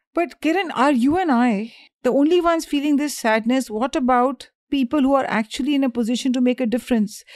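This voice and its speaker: A woman speaks at a fairly quick pace with a high pitch and ordinary pitch variation. Her loudness stays very even throughout. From India. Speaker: podcast co-host. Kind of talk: casual chat.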